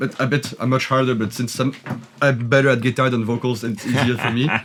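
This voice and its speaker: A man with a medium pitch talks at a very fast pace in a monotone, flat intonation. Noticeable background noise is present. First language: French. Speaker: metal band guitarist and vocalist. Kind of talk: casual studio walkthrough chat.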